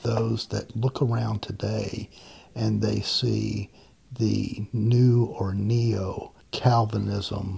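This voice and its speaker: The speaker talks at a very slow pace with a Southern US accent. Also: man. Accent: Southern US (Georgia). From US South, Macon, Georgia. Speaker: guest podcast host. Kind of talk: casual interview chat.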